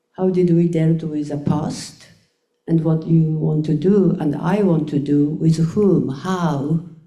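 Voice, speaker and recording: Audible room echo carries a woman's dark, mellow tone as she speaks very slowly in a monotone, flat intonation at a fairly low pitch. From Japan. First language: Japanese. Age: 70s. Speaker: choreographer. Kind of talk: panel discussion. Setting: stage with audience. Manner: halting.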